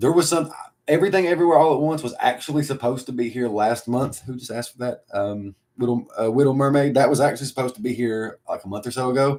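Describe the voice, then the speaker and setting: Speaking at a very fast pace in a strong Appalachian accent, a man keeps a medium pitch with ordinary pitch variation and big swings in loudness. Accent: Appalachian country accent, strong. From Appalachia, US. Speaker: video editor. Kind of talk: livestream Q&A chat. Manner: casual, many fillers.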